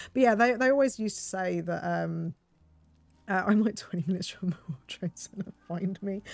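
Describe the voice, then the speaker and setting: Speech comes at a fairly quick pace with a slight English accent. The pitch variation is ordinary. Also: woman, medium pitch for a woman. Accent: slightly posh English. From southeast England. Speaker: game streamer. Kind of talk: casual chat. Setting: live stream. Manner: hesitant, many fillers.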